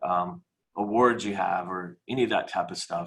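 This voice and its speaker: A man's medium-pitched voice with an American accent, a bright, sharp tone and ordinary pitch variation. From US Midwest, Kansas City. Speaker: mortgage professional. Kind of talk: webinar presentation. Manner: fast.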